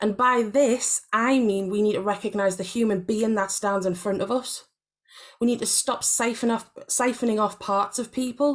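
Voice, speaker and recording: In a Geordie accent, a woman speaks at a fairly high pitch. Her intonation is fairly even. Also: moderate pace. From northeast England, Gateshead. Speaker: panellist, part-time academic and artist. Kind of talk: symposium panel talk.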